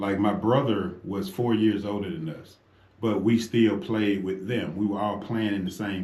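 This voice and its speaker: Audible room echo surrounds a man with a fairly low voice and a dark, mellow tone. He speaks at a moderate pace with ordinary pitch variation. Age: 50s. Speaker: radio host. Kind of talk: talk radio discussion. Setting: radio studio. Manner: animated.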